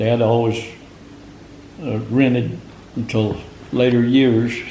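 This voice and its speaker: The delivery is very slow with monotone, flat intonation, set against noticeable background noise. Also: man, medium pitch for a man. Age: 80s+. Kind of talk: interview answer.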